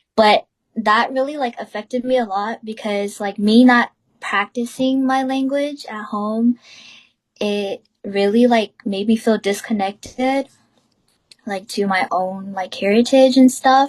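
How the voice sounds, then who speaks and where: With a Southeast Asian accent, a woman talks at a fairly slow pace in a fairly high pitch with ordinary pitch variation, the sound dry and close with no echo. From US, Hmong American family. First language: Hmong. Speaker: student podcast host. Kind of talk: casual discussion.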